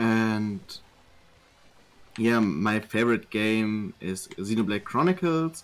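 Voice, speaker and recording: A man with a German accent, medium pitch, lively intonation, a very slow pace and long, frequent pauses. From Germany. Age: 20s. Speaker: gamer. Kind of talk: interview. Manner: halting.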